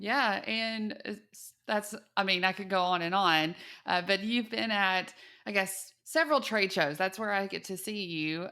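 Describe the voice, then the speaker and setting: On a very clean recording with a silent background, a bright, sharp voice with a slight Texas accent moves at a fairly slow pace. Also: woman, medium pitch for a woman, ordinary pitch variation. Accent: Texas twang, slight. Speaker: podcast host. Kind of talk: interview.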